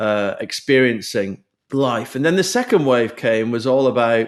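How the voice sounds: A man with a British accent at a medium pitch, fairly slow pace and big pitch swings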